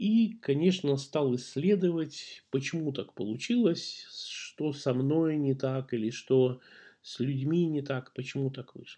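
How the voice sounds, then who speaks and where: Over a quiet background, a man talks at a very slow pace with a dark, mellow tone, a fairly high pitch, ordinary pitch variation and big swings in loudness. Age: 50s. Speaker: podcast host. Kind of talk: personal storytelling monologue. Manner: conversational, with hesitations.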